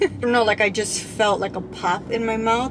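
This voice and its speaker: Loud background noise surrounds a woman whose speech moves at a moderate pace. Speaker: vlogger. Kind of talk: casual vlog chat. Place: car. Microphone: phone near.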